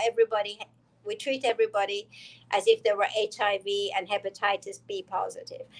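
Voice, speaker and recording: A woman with an Iranian accent, at a moderate pace, with ordinary pitch variation and a dry, close sound with no echo. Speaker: dentist. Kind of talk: interview.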